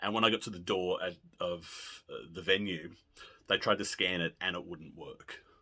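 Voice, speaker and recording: The man has an Australian accent. He speaks at a moderate pace. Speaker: pop music video blogger. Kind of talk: casual monologue. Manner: animated.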